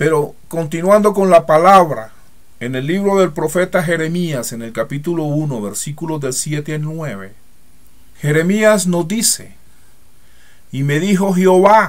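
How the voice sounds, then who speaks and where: With audible room echo, a man speaks fairly slowly at a fairly high pitch, his intonation lively and his loudness swinging widely. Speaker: preacher. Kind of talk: sermon. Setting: church.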